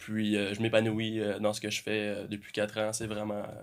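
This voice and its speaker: The recording is very clean, with a silent background. The speech keeps a moderate pace. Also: man. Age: 20s. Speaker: army reservist and student. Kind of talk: casual interview.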